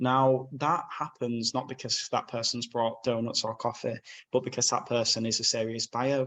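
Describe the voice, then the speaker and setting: A man with a Yorkshire accent talks at a moderate pace and medium pitch with monotone, flat intonation. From northern England, Bradford, West Yorkshire. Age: 20s. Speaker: magazine owner and property sourcer. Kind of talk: podcast interview. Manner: casual, frank.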